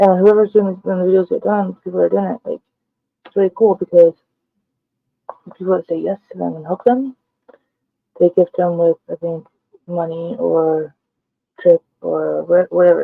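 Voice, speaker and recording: Quiet and at a moderate pace, a woman speaks with big swings in loudness and long, frequent pauses. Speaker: vlogger. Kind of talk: casual vlog monologue.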